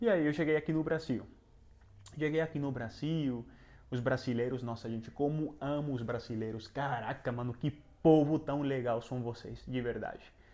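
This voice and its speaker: A man talks at a moderate pace and a medium pitch. His tone is dark and mellow. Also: fairly even intonation. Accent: Venezuelan. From Venezuela. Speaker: travel and self-improvement youtuber. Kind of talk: personal testimony vlog. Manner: halting, many fillers.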